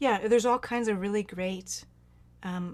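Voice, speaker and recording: This woman has a plain, everyday voice. It sits at a medium pitch, with fairly even intonation. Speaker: near-death experiencer and medicine singer. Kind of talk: Q&A advice in online group talk.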